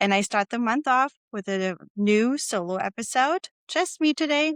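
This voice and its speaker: At a moderate pace, a woman speaks with fairly high pitch and very wide pitch swings in a dry, close sound with no echo. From Germany. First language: German. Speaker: podcast host. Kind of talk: solo podcast monologue.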